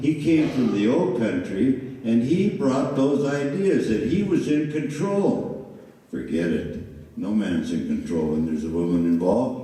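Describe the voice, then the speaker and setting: A man's medium-pitched voice with very wide pitch swings at a fairly slow pace, amid noticeable background noise and audible room echo. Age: 70s. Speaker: mayoral candidate, former mayor. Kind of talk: candidate forum answers. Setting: public forum with audience. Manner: animated.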